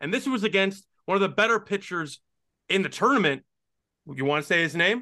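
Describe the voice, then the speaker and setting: A man's raised, projected voice, high in pitch, with a bright, sharp tone, lively intonation and long, frequent pauses. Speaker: sports podcaster and hockey commentator. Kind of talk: sports commentary recap, casual analysis.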